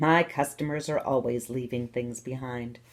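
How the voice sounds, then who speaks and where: Using a put-on character voice, a woman speaks at a moderate pace in a very deep, low pitch. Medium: read story.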